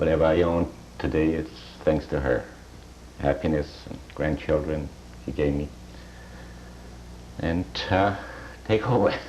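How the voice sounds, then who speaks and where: Amid noticeable background noise, a man with a very deep, low pitch speaks at a fairly slow pace. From Poland, Markowa. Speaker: Holocaust survivor. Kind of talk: testimony. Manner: halting.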